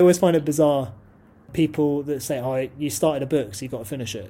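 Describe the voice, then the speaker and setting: With a British accent, a man talks at a very fast pace in a fairly high, somewhat breathy voice with a dark, mellow tone and ordinary pitch variation. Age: 20s. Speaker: martial arts practitioner and stunt performer. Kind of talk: casual chat.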